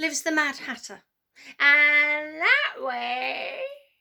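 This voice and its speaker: Using a put-on character voice, a woman talks at a high pitch. Her pace is very slow. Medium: read story.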